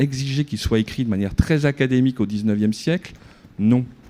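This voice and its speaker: The voice has a dark, mellow tone, a fairly quick pace and ordinary pitch variation. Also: man. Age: 50s. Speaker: researcher in a debate. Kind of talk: debate. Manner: animated.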